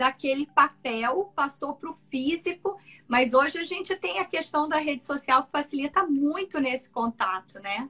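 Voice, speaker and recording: A woman speaks in a raised, projected voice with a bright, sharp tone. Her pace is fairly slow and her intonation lively. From Brazil, Mato Grosso (Cuiabá). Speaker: ENT doctor. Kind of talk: interview conversation.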